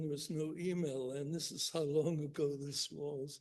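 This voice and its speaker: Delivered in a Northern Irish accent, the speech comes at a very slow pace with fairly even intonation. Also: man. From Northern Ireland, Belfast. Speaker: economics professor. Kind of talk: keynote lecture. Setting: conference stage with audience.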